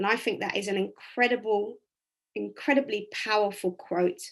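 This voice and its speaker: A woman with vocal fry speaks at a moderate pace with ordinary pitch variation against a quiet background. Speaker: motivational speaker. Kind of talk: online workshop talk. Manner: halting.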